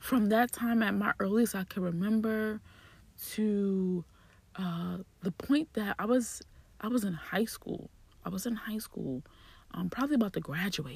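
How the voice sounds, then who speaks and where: A woman speaks with lively intonation and a somewhat breathy quality. Her delivery is broken by long, frequent pauses. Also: medium pitch for a woman, moderate pace. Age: 30s. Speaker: podcast host. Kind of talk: personal storytelling monologue. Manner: casual, conversational with frequent repetition.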